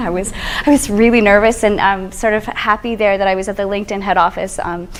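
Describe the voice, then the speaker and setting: Noticeable background noise runs under the recording. A woman speaks at a very fast pace. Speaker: social media strategist. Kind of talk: presentation to an audience. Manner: energetic.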